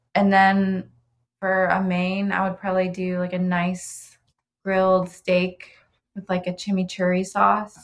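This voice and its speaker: Somewhat breathy, a woman with an American accent speaks at medium pitch in a flat monotone. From Ohio (Oxford). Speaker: pastry chef and bakery owner. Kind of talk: casual interview chat.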